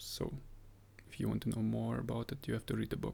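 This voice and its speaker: A man whispering. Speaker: health vlogger. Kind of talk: casual vlog monologue. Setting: home, early morning.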